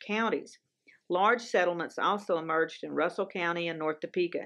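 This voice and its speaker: The woman's voice is fairly low in pitch. The background is quiet. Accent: Southern US. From US South. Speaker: TV show co-host. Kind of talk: casual chat; scripted narration.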